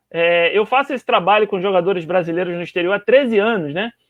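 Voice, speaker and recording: The man's pitch is high, with ordinary variation. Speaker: sports blogger and live interviewer. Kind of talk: live-streamed interview. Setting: Facebook live stream.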